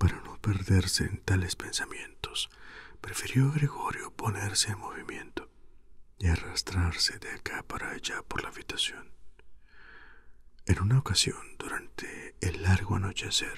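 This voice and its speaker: A man speaks at a fairly slow pace, with long, frequent pauses and big swings in loudness. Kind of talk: sleep story reading, audiobook-style literary reading. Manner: whispered, soft.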